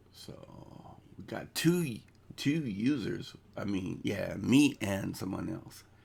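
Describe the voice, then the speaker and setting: Vocal fry colors a man's voice as he talks at a very slow pace. His pitch swings very widely. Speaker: crypto YouTuber. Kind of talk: casual live stream chat. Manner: halting.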